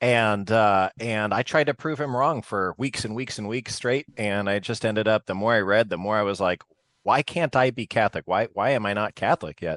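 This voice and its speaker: The recording of this man is dry and close with no echo, his moderate pace paired with ordinary pitch variation. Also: quiet background. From southern Arizona. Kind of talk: interview. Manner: halting.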